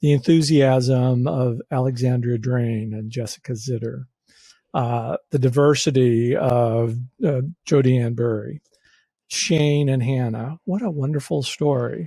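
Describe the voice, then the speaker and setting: A man talks at a fairly slow pace and a medium pitch. His voice is somewhat breathy, with ordinary pitch variation. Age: 60s. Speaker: podcast co-host. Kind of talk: casual chat. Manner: halting.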